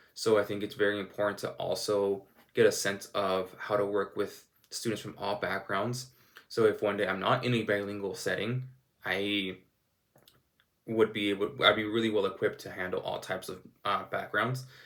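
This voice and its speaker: This man's voice sits at a fairly low pitch. His intonation is monotone and flat. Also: moderate pace. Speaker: teacher. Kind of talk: recorded class presentation. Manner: even, unchanging tone.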